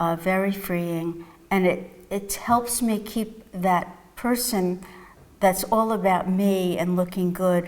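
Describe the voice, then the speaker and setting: A woman with a New York accent talks very slowly at a medium pitch. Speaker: psychotherapist and mindfulness teacher. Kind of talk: interview testimony.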